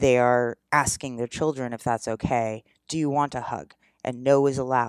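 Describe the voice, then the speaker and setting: Speech at a moderate pace in a very clean recording with a silent background. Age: 40s. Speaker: podcast host, sex education advice. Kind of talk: solo podcast monologue, educational. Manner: casual, conversational with fillers.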